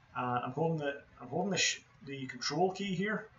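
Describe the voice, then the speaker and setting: Moderate-paced speech over noticeable background noise. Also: man. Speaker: 3D game artist. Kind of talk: tutorial. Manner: monotone.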